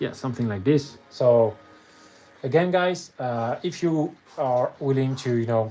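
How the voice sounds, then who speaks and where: Music plays behind a man who speaks with a French accent. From France. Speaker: miniature painter streamer. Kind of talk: casual live stream chat. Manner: halting.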